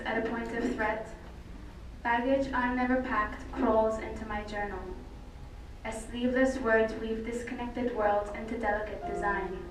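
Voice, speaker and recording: A woman with a fairly high pitch and monotone, flat intonation over noticeable background noise. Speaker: slam poet. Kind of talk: slam poetry performance.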